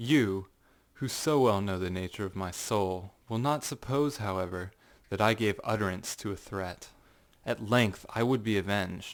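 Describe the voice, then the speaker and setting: Recorded very cleanly against a silent background, a man speaks at a moderate pace in a fairly low voice. He has an ordinary speaking voice and ordinary pitch variation. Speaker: narrator. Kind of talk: dramatic audiobook reading.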